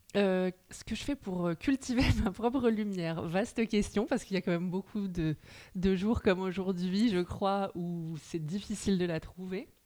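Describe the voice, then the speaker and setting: A woman with an ordinary speaking voice talks at a fairly slow pace and medium pitch, with ordinary pitch variation. The recording is very clean, with a silent background. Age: 30s. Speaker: journalist and novelist. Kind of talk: casual interview chat.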